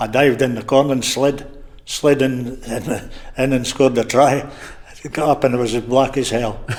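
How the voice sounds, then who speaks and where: Over noticeable background noise, a man with a Scottish Borders accent speaks at a moderate pace with medium pitch and a monotone, flat intonation. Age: 70s. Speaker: retired rugby player. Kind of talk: interview. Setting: bar.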